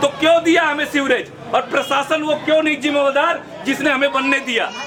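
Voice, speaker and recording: A man's raised, projected voice at an extremely high pitch, very even in loudness, with audible room echo and noticeable background noise. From Delhi, India. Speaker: local resident protester. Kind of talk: street interview. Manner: animated.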